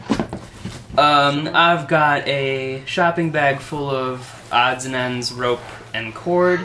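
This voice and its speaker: A man with an American accent, fairly high in pitch, at a very slow pace with fairly even intonation, amid noticeable background noise. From Michigan. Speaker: traveling gift project founder. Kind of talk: interview. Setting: at someone's home, not a studio. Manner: halting.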